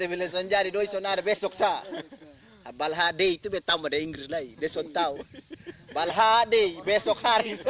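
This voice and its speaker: Noticeable background noise sits behind a voice with an East Nusa Tenggara accent. The pace is fairly quick, with ordinary pitch variation. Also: man, high pitch for a man. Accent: Rote regional Indonesian. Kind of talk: casual storytelling. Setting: informal recording, not studio.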